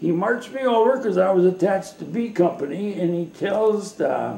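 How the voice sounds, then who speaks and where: High-pitched male speech in audible room echo. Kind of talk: interview answer. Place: kitchen. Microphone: webcam.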